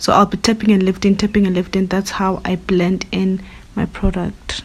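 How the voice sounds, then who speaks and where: Vocal fry colors a woman's medium-pitched voice as she speaks at a moderate pace with monotone, flat intonation. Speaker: beauty YouTuber. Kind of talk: makeup tutorial.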